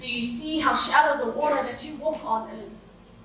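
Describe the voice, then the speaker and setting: A woman projects her raised, high voice at a fairly slow pace. Her intonation stays fairly even over noticeable background noise. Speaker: spoken word poet, competition entrant. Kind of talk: spoken word poetry performance.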